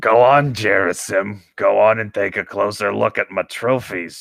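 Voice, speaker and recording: A raspy, put-on character voice. The sound is dry and close, with no echo. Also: man, fairly low pitch for a man, moderate pace. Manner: menacing.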